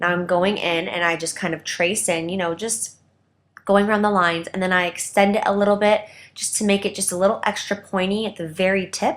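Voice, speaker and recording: A woman with a plain, everyday voice and medium pitch speaks at a fairly quick pace. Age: young. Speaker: professional makeup artist. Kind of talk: makeup tutorial talk to camera. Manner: upbeat, chatty.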